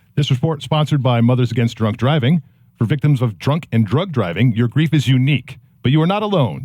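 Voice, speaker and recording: A man speaks at a medium pitch and fairly quick pace with lively intonation. His voice is somewhat breathy. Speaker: traffic reporter. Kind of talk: traffic report. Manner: announcer-style delivery.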